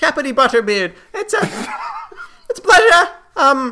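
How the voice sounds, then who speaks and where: A put-on character voice cackles at a high pitch, swinging very widely in pitch at a fairly slow pace. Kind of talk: comic overacting. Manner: cheery, scatterbrained, cackling.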